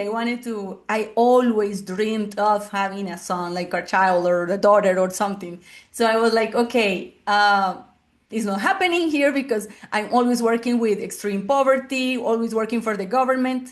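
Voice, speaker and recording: A woman with a Spanish accent and fairly high pitch, at a moderate pace, against a quiet background. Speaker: family therapist. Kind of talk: interview. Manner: halting.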